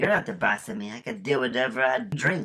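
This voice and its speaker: A man does a raspy, put-on character voice at a fairly quick pace, with very wide pitch swings and big swings in loudness. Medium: audio drama. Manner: goofy, brash.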